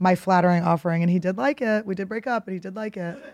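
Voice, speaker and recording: A woman's normal speaking voice with fairly even intonation, on a very clean recording with a silent background. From Philadelphia. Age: 30s. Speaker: comedian. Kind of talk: casual chat.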